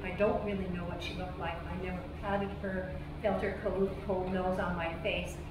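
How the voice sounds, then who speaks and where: A woman speaks at a moderate pace. Noticeable background noise and audible room echo surround her voice. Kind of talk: address to cast and crew, personal story. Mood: earnest, emotional storytelling. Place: stage.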